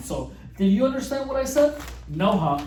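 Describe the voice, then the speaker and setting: Noticeable background noise and audible room echo surround speech at a moderate pace. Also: man. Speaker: youtuber. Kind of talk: casual explainer monologue. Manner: halting, many repetitions and restarts.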